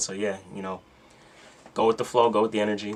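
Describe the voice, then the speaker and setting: In monotone, flat intonation, a man with a fairly low pitch talks at a fairly quick pace. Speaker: astrology content creator. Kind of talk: casual livestream talk about astrology. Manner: fast; casual, filler-heavy.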